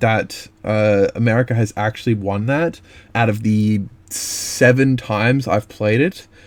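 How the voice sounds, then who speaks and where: Ordinary pitch movement from a male speaker with an Australian accent. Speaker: gaming youtuber. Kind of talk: rant review. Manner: fast; hesitant, many fillers.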